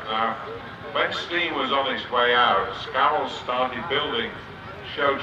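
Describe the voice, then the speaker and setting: A man at a moderate pace with ordinary pitch variation, over noticeable background noise. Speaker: arena commentator. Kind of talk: commentary. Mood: warm, enthusiastic. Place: open country.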